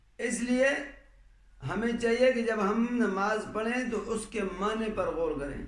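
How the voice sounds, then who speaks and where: A man speaks in a high voice with ordinary pitch variation. Noticeable background noise runs underneath. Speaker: Islamic scholar. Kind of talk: religious sermon.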